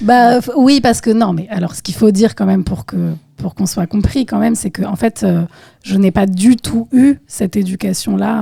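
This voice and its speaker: Her tone dark and mellow and somewhat breathy, a woman speaks at a moderate pace and medium pitch with lively intonation, the sound dry and close with no echo. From Île-de-France, France. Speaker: singer and percussionist. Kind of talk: podcast interview answer.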